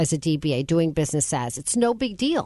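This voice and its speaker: A woman with an ordinary speaking voice talks at a moderate pace. Her pitch is fairly low, and the background is quiet. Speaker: radio host. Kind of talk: radio interview. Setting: studio.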